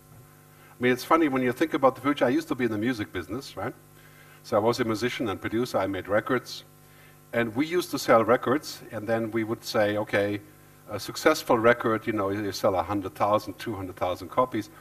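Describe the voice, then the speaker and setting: A man at a medium pitch, speaking very fast with ordinary pitch variation. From Germany. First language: German. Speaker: futurist and author. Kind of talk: keynote talk. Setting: stage with audience.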